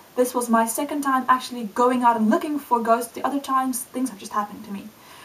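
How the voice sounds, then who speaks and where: A woman with a high voice speaks very fast in an animated tone, with big swings in loudness. Noticeable background noise runs underneath. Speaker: video blogger. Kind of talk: casual vlog monologue.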